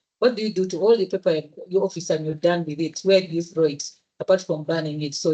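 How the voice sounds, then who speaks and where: A dark, mellow tone at a fairly quick pace, with a Ugandan accent. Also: woman. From Uganda, Central Region (Muganda). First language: Luganda. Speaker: engineer and social entrepreneur. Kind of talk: presentation at a public event. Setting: hybrid event with live audience.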